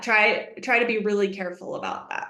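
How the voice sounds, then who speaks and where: Amid audible room echo, a woman with a fairly high pitch and a bright, sharp tone speaks in an animated tone. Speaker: economics researcher, webinar presenter. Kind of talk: webinar presentation.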